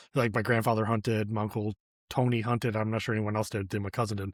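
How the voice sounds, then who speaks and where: A man with an American accent speaks very fast in a fairly low pitch and a flat monotone, his voice dry and close with no echo on a very clean recording over a silent background. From Michigan (Flint area). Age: 40s. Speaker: podcast host. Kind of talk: casual interview chat.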